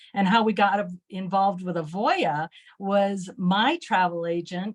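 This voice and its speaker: Somewhat breathy, this woman's voice sits at a medium pitch and moves at a very slow pace. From Germany, moved to US as child. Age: 70s. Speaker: travel agency owner. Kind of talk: interview.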